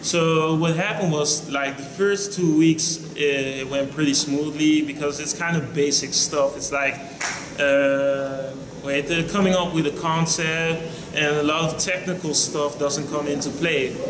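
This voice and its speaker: A man's fairly high voice at a fairly slow pace, fairly even intonation, with noticeable background noise and audible room echo. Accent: Dutch. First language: Dutch. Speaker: vlogger. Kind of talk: casual vlog monologue.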